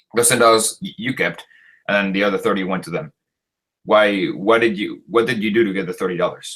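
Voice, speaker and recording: A man's medium-pitched voice in a Spanish accent, fairly quick, with ordinary pitch variation. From Chile. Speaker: Marxist debater. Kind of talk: debate. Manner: halting, stumbling over words.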